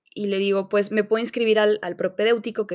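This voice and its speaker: A fairly quick woman's voice in a central Mexican accent, on a very clean recording with a silent background. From Mexico, León, Guanajuato. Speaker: physician. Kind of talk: interview.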